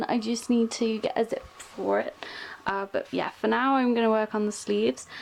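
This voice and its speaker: A woman against noticeable background noise. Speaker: cosplayer. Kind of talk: casual talk to camera. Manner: drone-y, monotone after a while; hesitant, many fillers.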